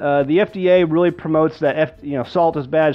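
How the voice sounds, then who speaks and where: Faint music sits in the background while a man talks at a very fast pace with ordinary pitch variation. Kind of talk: tutorial. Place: kitchen.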